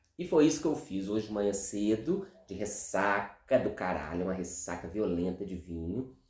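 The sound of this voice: A man's put-on character voice, hoarse and fairly low, at a moderate pace with a slight echo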